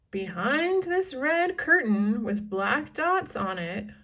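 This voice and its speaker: A woman puts on a character voice with a high pitch and very wide pitch swings. She speaks at a very slow pace. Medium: read story. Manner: upbeat, salesy.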